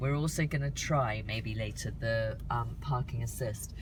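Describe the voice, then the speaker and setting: A woman is speaking. Audible room echo surrounds her voice. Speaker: car reviewer for a parenting channel. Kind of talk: casual video review. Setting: outdoors on a street, then in a car. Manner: enthusiastic.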